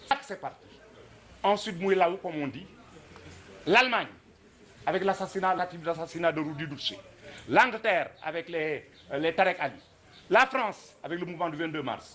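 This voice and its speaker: Amid noticeable background noise, a man with high pitch and lively intonation talks at a moderate pace, leaving long, frequent pauses. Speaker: former student activist. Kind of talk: commemorative talk.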